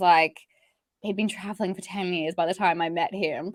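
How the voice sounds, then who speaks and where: A woman with an Australian accent. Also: very clean recording, silent background. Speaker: entrepreneur, stress and burnout coach. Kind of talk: podcast interview. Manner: casual, lots of fillers like 'like'.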